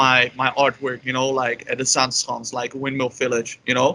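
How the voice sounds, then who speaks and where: Over noticeable background noise, a man speaks at a medium pitch with a Dutch accent. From Netherlands, Amsterdam. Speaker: polyglot and illustrator. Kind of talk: interview. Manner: halting, many fillers.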